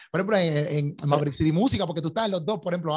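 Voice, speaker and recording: A man speaks at a very fast pace. His voice is fairly high. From Puerto Rico. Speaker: podcast host. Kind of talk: casual interview. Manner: animated.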